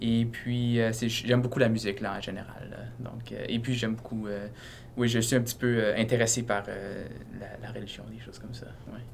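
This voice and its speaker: A man's medium-pitched voice in a monotone, flat intonation at a moderate pace, with big swings in loudness, noticeable background noise and audible room echo. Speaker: university student. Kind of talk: casual interview. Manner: halting, many fillers.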